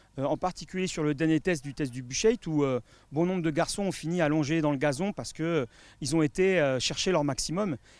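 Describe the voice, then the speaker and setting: A man speaks at a fairly high pitch with ordinary pitch variation. The recording is very clean, dry and close, with a silent background and no echo. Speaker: football fitness coach. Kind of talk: interview. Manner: fast; hesitant, many fillers.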